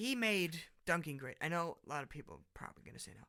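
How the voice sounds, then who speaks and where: Raising and projecting his voice, a man with a German accent speaks in a bright, sharp tone. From Germany. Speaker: podcast host. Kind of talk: casual monologue. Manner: halting.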